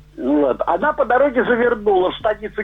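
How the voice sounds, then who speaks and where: Noticeable background noise sits under this man's extremely high voice. He talks at a moderate pace with lively intonation. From Kuban, Russia; raised Leningrad. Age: 70s. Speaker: caller, recovering alcoholic. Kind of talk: call-in comment. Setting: phone call.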